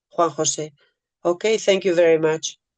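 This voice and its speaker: A woman speaks in a Spanish accent at a fairly slow pace, her fairly low pitch held in monotone, flat intonation, with a dry, close sound with no echo. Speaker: peace activist. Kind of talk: prepared speech.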